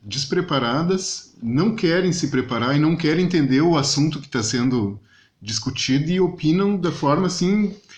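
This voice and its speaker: A man talks in a fairly high voice with lively intonation. His delivery is somewhat breathy. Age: younger than 62. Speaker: podcast host. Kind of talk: casual interview chat.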